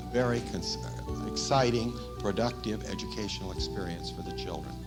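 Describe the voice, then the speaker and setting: A man's pitch swings very widely as he talks at a moderate pace. Music runs behind him. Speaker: elementary school principal. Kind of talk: testimonial interview.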